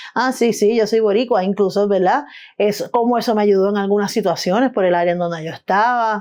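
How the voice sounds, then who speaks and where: A woman speaks with a Puerto Rican accent. Her pitch is medium and her intonation fairly even. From Puerto Rico, San Juan (Río Piedras). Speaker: artist and film editor. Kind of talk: interview. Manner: halting, many false starts.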